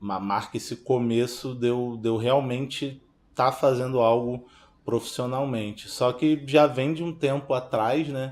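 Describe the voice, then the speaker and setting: A man with a plain, everyday voice, at a fairly slow pace and with fairly even intonation. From Baixada Fluminense, Rio de Janeiro, Brazil. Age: 30s. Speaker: filmmaker. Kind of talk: interview testimony.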